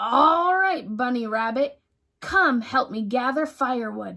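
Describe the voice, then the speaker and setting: Using a put-on character voice, a woman speaks at a fairly slow pace with a high pitch and lively intonation. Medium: read story. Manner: snarling, gruff; gruff, bossy.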